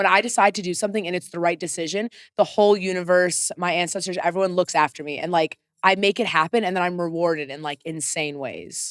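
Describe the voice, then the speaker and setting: A woman speaks at a very fast pace with an American accent, a fairly low pitch and fairly even intonation. The sound is dry and close with no echo, on a very clean recording with a silent background. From US Midwest, Chicago. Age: 30s. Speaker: podcast guest, entertainer. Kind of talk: casual chat.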